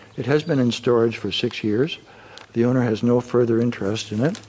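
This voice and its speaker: Light background noise sits behind the speaker, a man. He talks at a moderate pace. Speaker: boat sales agent. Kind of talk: sales walkaround commentary. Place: garage.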